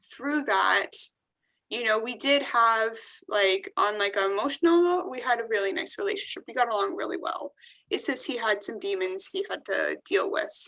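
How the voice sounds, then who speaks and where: A woman speaks at a high pitch and moderate pace, her tone bright and sharp. Her pitch swings very widely, with a quiet background. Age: 20s. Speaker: actress and TV host. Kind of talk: interview answer. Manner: casual, conversational.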